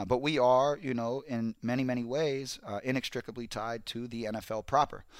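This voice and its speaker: A man with an ordinary speaking voice and an American accent talks at a fairly quick pace with hardly any pauses, medium pitch and fairly even intonation in a very clean recording with a silent background. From South Central Los Angeles. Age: 30s. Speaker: NFL insider. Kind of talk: casual chat.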